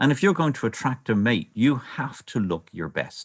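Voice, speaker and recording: With a Dublin accent, a man speaks with very wide pitch swings. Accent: Dublin Irish. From Ireland, Dublin. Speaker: birdwatcher and nature presenter. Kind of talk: online illustrated talk.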